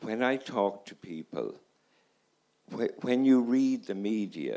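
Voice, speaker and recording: In an Irish accent, the speaker talks very slowly, with big swings in loudness. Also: man. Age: 70s. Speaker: audience member, family doctor. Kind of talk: audience comment. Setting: audience at festival.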